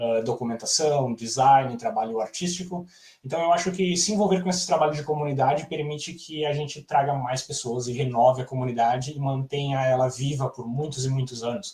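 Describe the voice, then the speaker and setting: A fairly high-pitched man at a fairly quick pace, ordinary pitch variation and hardly any pauses. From southern Brazil, Rio Grande do Sul. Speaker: software developer. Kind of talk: conference talk. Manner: fast.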